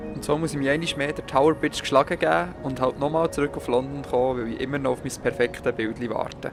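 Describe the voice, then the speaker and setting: Over background music, a man with a Swiss accent talks at a very fast pace with hardly any pauses, his medium pitch shifting in an ordinary way. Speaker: travel photographer vlogger. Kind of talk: travel vlog narration.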